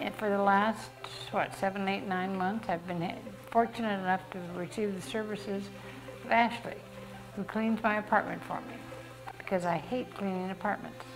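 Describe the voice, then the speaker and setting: Music plays in the background as a woman speaks at medium pitch and a moderate pace. She uses ordinary pitch variation and long, frequent pauses. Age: 80s+. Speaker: senior housing resident. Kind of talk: interview.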